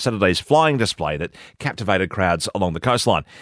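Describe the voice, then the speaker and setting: Energetic in tone, a man talks at a fairly quick pace with lively intonation. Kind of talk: news reading. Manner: crisp, brisk, formal broadcast delivery with steady, even pacing; measured and authoritative, energetic on sport headlines.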